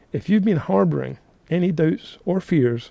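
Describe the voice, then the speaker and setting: With a Scottish accent, a man speaks at a fairly high pitch in a dark, mellow tone. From Scotland, Linlithgow near Edinburgh. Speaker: real estate coach, podcast host. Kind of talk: podcast monologue, coaching. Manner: casual, energetic.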